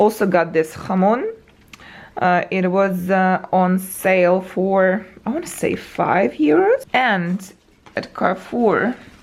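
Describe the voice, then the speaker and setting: Over noticeable background noise, a woman at medium pitch speaks at a very slow pace. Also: ordinary pitch variation. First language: not English. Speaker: travel vlogger. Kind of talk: casual vlog talk to camera. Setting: hotel room. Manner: uneven intonation and pauses.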